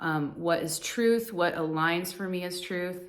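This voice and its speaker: A woman with an American accent talks fairly slowly at a fairly low pitch. The room echo is audible. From US, Colorado. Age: 40s. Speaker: divorce coach and spiritual vlogger. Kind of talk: personal monologue to camera. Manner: casual, with many fillers.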